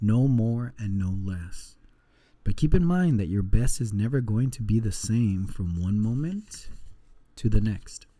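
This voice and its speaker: A man's medium-pitched voice, dark and mellow in tone, calm in tone, with lively intonation at a fairly slow pace. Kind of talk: book reading aloud. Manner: soft-spoken, calm.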